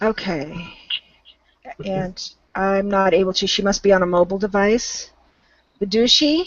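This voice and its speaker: A woman with an American accent at medium pitch and a moderate pace, ordinary pitch variation, and long, frequent pauses. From Southern California. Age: 50s. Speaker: volunteer English tutor. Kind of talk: online English conversation class. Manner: hesitant, many fillers.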